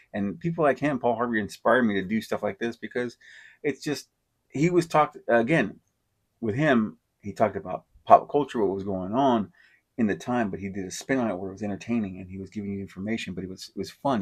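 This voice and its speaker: A man mumbling at a very fast pace, ordinary pitch variation, quiet background. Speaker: podcast host. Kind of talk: casual monologue. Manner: halting, stutters and mumbles.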